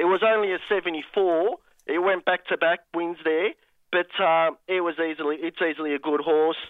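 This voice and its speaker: A man speaks with a high pitch at a moderate pace. His intonation stays fairly even. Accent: Australian. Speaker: caller to a racing and sports radio show. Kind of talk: casual phone chat. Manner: flat-sounding.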